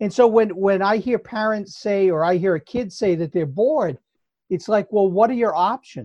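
Recorded with a dry, close sound and no echo, a man with an American accent talks at a moderate pace in a high pitch. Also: quiet background. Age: 70s. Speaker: retired school psychologist. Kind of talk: casual chat. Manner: halting, repeats words.

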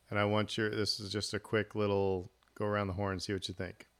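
A fairly low-pitched man with an American accent, at a very fast pace. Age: 40s. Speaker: podcast host. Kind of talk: casual chat.

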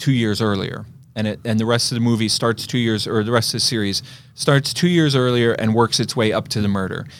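On a very clean recording with a silent background, a man with a plain, everyday voice, a medium pitch, and an American accent talks at a fairly quick pace with ordinary pitch variation. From Eastern Pennsylvania. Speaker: podcast host, film reviewer. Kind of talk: casual chat.

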